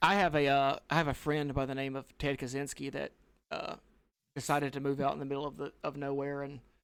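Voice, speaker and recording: A man with a Southern US accent talks at a very fast pace in a fairly high voice. His intonation is monotone and flat, on a very clean recording with a silent background. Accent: Southern American. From US South. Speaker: podcast co-host. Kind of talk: casual chat. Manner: loud.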